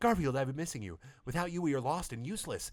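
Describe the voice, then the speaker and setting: Putting on a character voice, a man with a fairly high pitch speaks at a very fast pace. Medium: read story. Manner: very fast talking.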